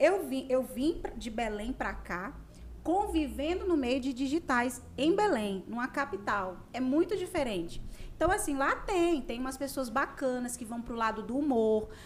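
A woman's high-pitched voice makes very wide pitch swings as she talks at a fairly slow pace. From Conceição do Araguaia, Pará, Brazil. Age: 30s. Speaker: radio host and digital influencer. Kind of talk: casual chat.

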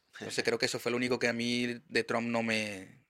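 On a very clean, dry, close recording with no echo and a silent background, a man with a medium pitch and a bright, sharp tone talks at a fairly quick pace. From Venezuela, Maracaibo. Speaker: podcast host. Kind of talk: casual chat. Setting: studio.

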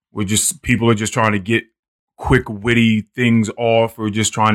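At a moderate pace, a man with a medium pitch speaks in a normal speaking voice, the sound dry and close with no echo. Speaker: podcast host. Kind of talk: casual chat.

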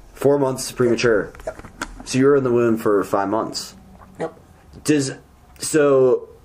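Through noticeable background noise, a man at medium pitch speaks at a fairly slow pace with ordinary pitch variation and long, frequent pauses. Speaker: podcast host. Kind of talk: casual chat. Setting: studio.

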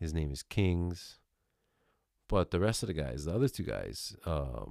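A man with a very deep, low pitch and a dark, mellow tone speaks at a fairly slow pace with lively intonation. The recording is very clean and dry, close with no echo and a silent background. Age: 30s. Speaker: podcast host. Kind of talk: casual monologue. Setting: home recording, new microphone. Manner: casual, heavy swearing.

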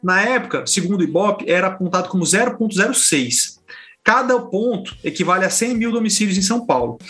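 This man's voice is raised and projected, with a high pitch. Its tone is bright and sharp. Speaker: journalist, podcast co-host. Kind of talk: casual panel discussion.

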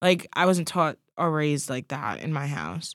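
A woman speaks at a moderate pace with a very deep, low pitch and vocal fry. The recording is very clean, with a silent background and a dry, close sound that has no echo. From Long Island, New York. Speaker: podcast co-host. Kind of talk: casual chat.

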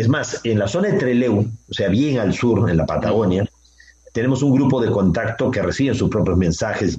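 At a moderate pace, a man talks in a dark, mellow tone that is somewhat breathy, with ordinary pitch variation. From Peru. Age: 60s. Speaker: author and contactee lecturer. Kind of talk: radio interview.

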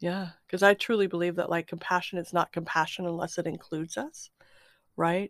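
The sound is dry and close with no echo, carrying a woman's fairly low pitch and an unremarkable speaking voice. She talks at a fairly quick pace with fairly even intonation. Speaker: podcast host. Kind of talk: casual spiritual interview chat. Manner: warm, effusive.

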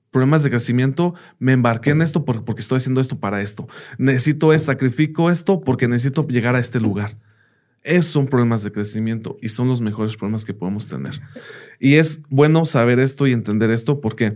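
A man's ordinary speaking voice, medium in pitch, fairly quick, with ordinary pitch variation. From United States. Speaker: teacher. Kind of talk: casual interview chat.

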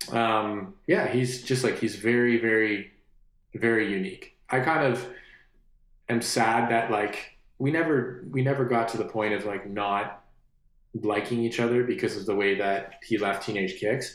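The man's voice sits at medium pitch with ordinary pitch variation and a fairly slow pace. Audible room echo is present. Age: 30s. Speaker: musician. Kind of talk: casual interview. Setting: studio.

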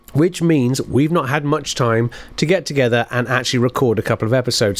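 With a British accent, a man speaks at a fairly quick pace. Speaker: podcast host. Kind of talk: show introduction.

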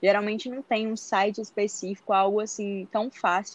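In a dry, close sound with no echo, a woman speaks at a moderate pace and a fairly high pitch, with an ordinary speaking voice. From interior of Bahia, Brazil. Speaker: medical student. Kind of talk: interview.

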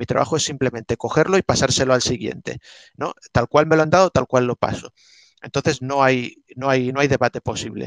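Recorded with a dry, close sound and no echo, a man speaks at a fairly quick pace in a medium pitch with fairly even intonation. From Spain, Alicante (Benissa). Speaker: art historian and martial arts teacher. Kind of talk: interview. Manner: halting.

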